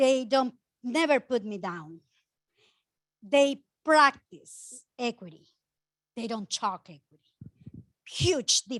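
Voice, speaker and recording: With a Spanish accent, a woman talks at a very slow pace in a high voice, her pitch swinging very widely and her loudness in big swings, leaving long, frequent pauses against a quiet background. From Ecuador. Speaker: housing nonprofit director. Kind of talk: conference panel talk. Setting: conference room with audience and mic.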